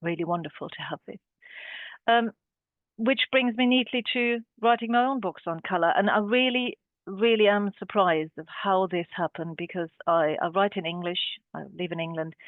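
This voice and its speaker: Speaking with a German accent, a woman with a medium-pitched voice shows big swings in loudness. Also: ordinary pitch variation, moderate pace. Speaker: art historian and curator. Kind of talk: webinar talk. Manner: halting, many fillers.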